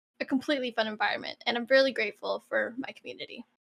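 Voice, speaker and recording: A woman projects a raised voice at a high pitch with a bright, sharp tone. She speaks at a very fast pace. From Canada, Toronto. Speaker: streamer. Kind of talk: interview.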